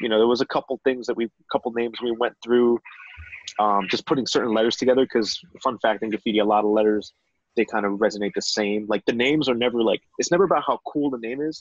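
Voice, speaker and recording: A man with an American accent speaks very fast against a quiet background, the sound dry with no echo. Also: ordinary pitch variation. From North New Jersey. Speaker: photographer; podcast guest. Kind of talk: casual chat. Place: home room. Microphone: video call.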